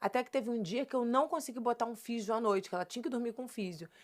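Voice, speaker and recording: Recorded very cleanly against a silent background, a woman's fairly high voice with ordinary pitch variation sounds dry and close with no echo. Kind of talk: podcast interview, personal testimony. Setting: podcast studio. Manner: emotional.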